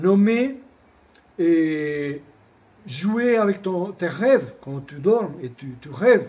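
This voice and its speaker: A man talks at a very slow pace with a non-native accent. His intonation is lively. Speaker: shamanic retreat center founder and teacher. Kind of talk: spiritual talk. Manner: hesitant, with repetitions.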